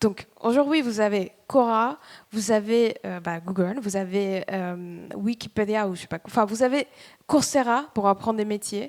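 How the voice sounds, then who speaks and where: Speaking with a slight Spanish accent, a woman talks at a fairly slow pace and a fairly high pitch, her pitch variation ordinary and her loudness swinging widely. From Dominican Republic. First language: Spanish (speaking French). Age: 30s. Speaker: startup employee. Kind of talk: motivational talk. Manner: halting.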